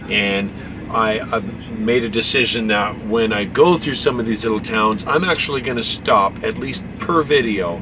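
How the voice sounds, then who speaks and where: The speaker keeps a moderate pace over noticeable background noise. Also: man. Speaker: truck driver vlogger. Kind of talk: casual vlog chat. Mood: earnest, grateful. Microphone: phone near.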